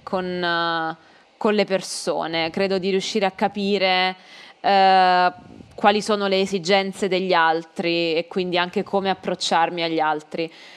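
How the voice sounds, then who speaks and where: The voice carries a slight southern Italian accent and fairly even intonation. The background is quiet. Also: woman. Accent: weak southern Italian. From southern Italy (Campania/Molise). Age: young. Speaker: Italian language teacher. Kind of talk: casual chat.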